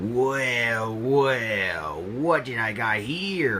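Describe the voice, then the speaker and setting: A man's put-on character voice, growling at a medium pitch, with lively intonation over clear background noise. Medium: read story. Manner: growling, menacing.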